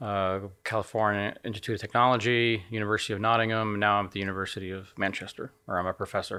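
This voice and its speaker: A man with an American accent talks very fast with hardly any pauses, his fairly low voice bright and sharp in tone. His intonation is monotone and flat, and the recording is very clean with a silent background. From United States. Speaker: astronomy professor. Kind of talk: interview. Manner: hesitant, repeats words.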